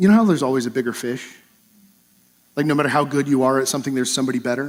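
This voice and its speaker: Recorded very cleanly against a silent background, a man talks at a very fast pace with ordinary pitch variation. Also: medium pitch for a man. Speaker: pastor. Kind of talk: sermon. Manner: halting with repetitions.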